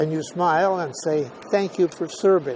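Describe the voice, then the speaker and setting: A man with an American accent speaks at a fairly slow pace with fairly even intonation over noticeable background noise. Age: 80s+. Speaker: WWII veteran, former B-17 tail gunner. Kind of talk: interview answer.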